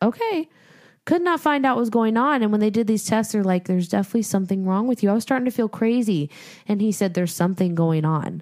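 With big swings in loudness, a woman talks at a very fast pace, fairly high in pitch with lively intonation, on a very clean recording with a silent background. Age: 20s. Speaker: podcast co-host. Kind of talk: casual chat.

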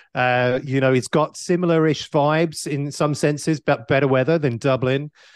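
Fairly even intonation and a moderate pace come through in a dry, close sound with no echo over a quiet background. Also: man. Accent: British. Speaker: conference founder. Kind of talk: casual podcast interview. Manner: hesitant, filler-heavy.

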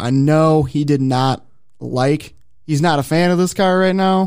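With an American accent and a plain, everyday voice, a man speaks at a fairly slow pace and a fairly high pitch with ordinary pitch variation. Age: 30s. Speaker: motorsports podcast host. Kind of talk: casual chat. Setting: studio.

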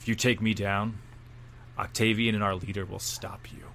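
Putting on a character voice, a man speaks at a moderate pace in a fairly low, monotone, flat voice with big swings in loudness over clear background noise. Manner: strained, threatening.

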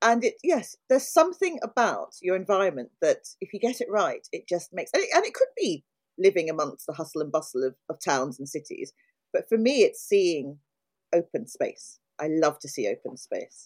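Recorded with a dry, close sound and no echo, a woman with a London accent speaks at a moderate pace with big swings in loudness. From South London. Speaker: podcast co-host. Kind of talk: casual interview chat.

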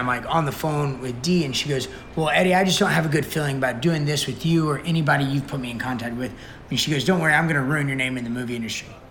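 With an American accent, a man speaks at a very fast pace and a fairly high pitch. Noticeable background noise runs behind him. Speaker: fitness trainer, interviewee. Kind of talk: interview recounting a story. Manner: casual, rambling, animated.

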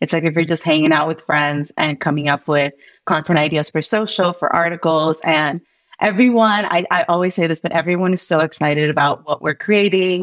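A woman with an unremarkable speaking voice and a fairly low pitch. Her intonation is fairly even, her loudness very even, and the sound is dry and close with no echo. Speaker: editor and author. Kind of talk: casual interview.

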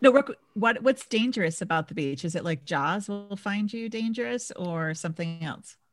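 A woman's medium-pitched voice with an American accent, lively intonation, big swings in loudness and hardly any pauses at a moderate pace, with music in the background. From Minnesota. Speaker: leadership coach. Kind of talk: casual interview chat.

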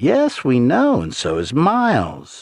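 This man puts on a character voice, speaking slowly at a medium pitch with very wide pitch swings. Vocal fry and a slightly husky edge run through it.

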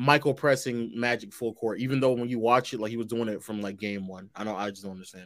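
Speaking at a fairly quick pace, a man uses medium pitch, fairly even intonation and an unremarkable speaking voice. The recording is very clean with a silent background. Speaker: basketball debate panelist. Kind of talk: heated debate.

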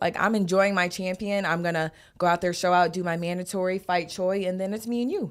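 Fairly quick and fairly even in intonation, a woman of medium pitch talks in an ordinary speaking voice on a very clean recording with a silent background. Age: 20s. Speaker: boxer. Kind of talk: casual chat. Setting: studio.

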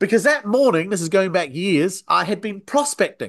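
Over a quiet background, a man speaks at a high pitch with very wide pitch swings. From New Zealand. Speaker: sales trainer. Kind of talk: interview.

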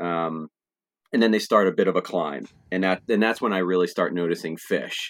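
With an American accent, a man talks in a very deep, low voice and fairly even intonation. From New Jersey, Trenton area. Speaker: podcast co-host and music fan. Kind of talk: casual chat.

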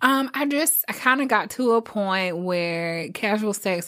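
A woman with an American accent speaks with very wide pitch swings on a very clean recording with a silent background. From rural southern Virginia. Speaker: entrepreneur and military veteran. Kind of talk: casual chat.

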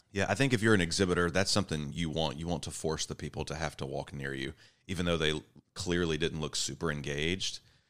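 In a Southern US accent, the voice rushes at a very fast pace with vocal fry and ordinary pitch variation, in a very clean recording with a silent background. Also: man, very deep, low pitch for a man. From US South, Georgia. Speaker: pharmacy professor. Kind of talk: casual chat. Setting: convention center, in person.

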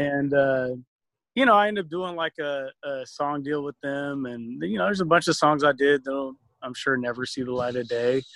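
Using a normal speaking voice, a man with a fairly high pitch and ordinary pitch variation speaks at a moderate pace. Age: 40s. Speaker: hip hop producer. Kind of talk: casual interview chat. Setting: video call.

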